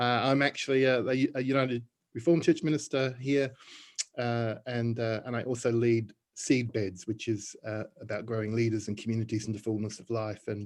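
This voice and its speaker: A man with an Australian accent speaks at a fairly quick pace and medium pitch, his intonation fairly even. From Australia (Melbourne). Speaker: church minister and community leader. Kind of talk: panel discussion self-introduction. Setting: video call.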